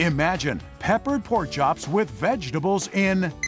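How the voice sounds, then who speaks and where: Music plays behind a man who speaks at a very slow pace. His pitch swings very widely. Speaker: announcer. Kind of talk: infomercial voiceover.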